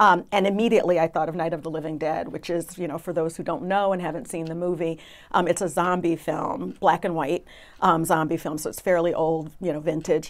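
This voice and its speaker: Speaking at a fairly quick pace, a woman with an American accent uses a fairly low pitch and fairly even intonation. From US, Brooklyn, New York. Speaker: trial attorney. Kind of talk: casual interview discussion. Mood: earnest, reflective. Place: studio.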